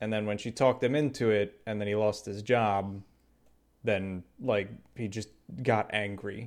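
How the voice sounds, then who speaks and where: Recorded very cleanly against a silent background, a man with an unremarkable speaking voice talks at a moderate pace, with a fairly low pitch and fairly even intonation. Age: 30s. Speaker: podcast co-host. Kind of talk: casual chat.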